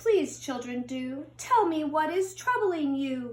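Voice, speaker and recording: A woman does a put-on character voice, high-pitched and fairly slow. Her pitch swings very widely. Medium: read story. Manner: gentle.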